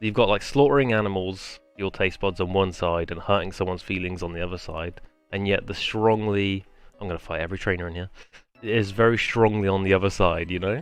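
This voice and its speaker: Over background music, a man with a very deep, low pitch talks at a fairly quick pace with fairly even intonation. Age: 20s. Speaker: gaming streamer. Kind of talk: casual gameplay commentary. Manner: rambling, hesitant.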